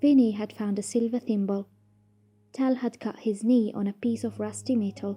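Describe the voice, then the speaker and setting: A woman's moderate-paced speech is set against music in the background. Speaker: story narrator. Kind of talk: short story reading.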